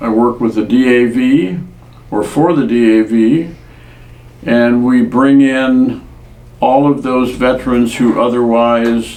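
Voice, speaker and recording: A man with an American accent at medium pitch, speaking at a very slow pace amid noticeable background noise. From US Pacific Northwest (Washington state). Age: 70s. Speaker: war veteran. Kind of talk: oral history interview.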